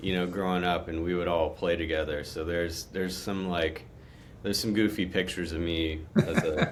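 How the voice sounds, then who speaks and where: In a Texan accent, a man with a very deep, low pitch speaks at a fairly quick pace with monotone, flat intonation and audible room echo. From Texas, Conroe near Houston. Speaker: guitar player. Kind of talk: interview conversation.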